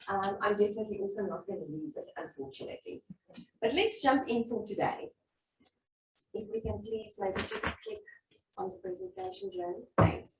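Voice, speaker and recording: A woman speaks with a South African accent. Her pitch swings very widely. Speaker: workshop facilitator. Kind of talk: interactive workshop presentation.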